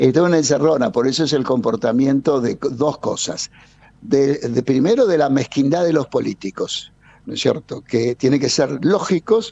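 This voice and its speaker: His pitch is fairly high and his intonation lively. The man keeps a moderate pace. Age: 60s. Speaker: energy consultant. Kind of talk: radio interview. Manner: animated.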